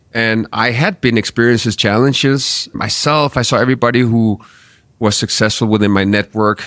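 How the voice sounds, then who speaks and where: A man with a Danish accent, fairly low in pitch, at a moderate pace with ordinary pitch variation, in a dry, close sound with no echo. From Denmark. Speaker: marketing agency founder. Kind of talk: interview. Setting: studio.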